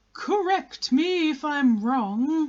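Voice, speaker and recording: The speaker puts on a character voice pitched high. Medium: read story. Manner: solemn, formal, pompous.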